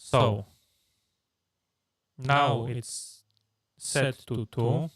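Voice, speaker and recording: A man speaks in a somewhat breathy voice with fairly even intonation. The sound is dry and close, with no echo. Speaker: streamer. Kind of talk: live stream tutorial. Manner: halting, many fillers.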